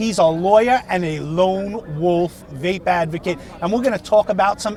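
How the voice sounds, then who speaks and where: The speaker has a Brooklyn accent and an animated tone, with ordinary pitch variation. Crowd noise fills the background. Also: man. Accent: New York (Brooklyn). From US Northeast (Brooklyn, New York). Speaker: vaping channel host, interviewer. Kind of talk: street interview at rally.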